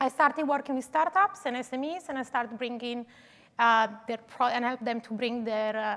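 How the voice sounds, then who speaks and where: In an Italian accent, a woman speaks with a high pitch and ordinary pitch variation. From Italy, Turin. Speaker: digital twin consultant. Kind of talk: conference talk. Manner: hesitant, many fillers.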